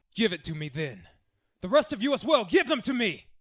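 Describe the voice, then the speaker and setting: In a put-on character voice, a man speaks fairly quickly at a high pitch, with very wide pitch swings and big swings in loudness. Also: very clean recording, silent background. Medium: audio drama. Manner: harsh, barking.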